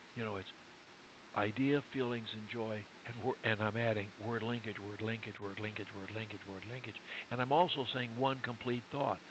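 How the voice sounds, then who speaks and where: A man speaks at a moderate pace with fairly even intonation and a medium pitch. Noticeable background noise runs behind him. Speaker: speech coach. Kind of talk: coaching session.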